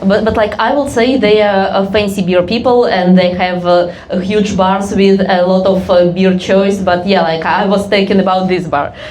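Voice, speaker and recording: A woman with a Russian accent at medium pitch, moderate pace, very even loudness and fairly even intonation, hardly any pauses, plus noticeable background noise and audible room echo. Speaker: comedian. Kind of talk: on-stage interview. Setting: stage with audience. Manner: halting, many fillers.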